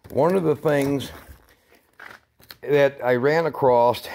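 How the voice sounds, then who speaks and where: A man talks, and his pitch rises and falls in an ordinary way. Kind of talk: casual vlog chat. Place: garage. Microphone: phone near.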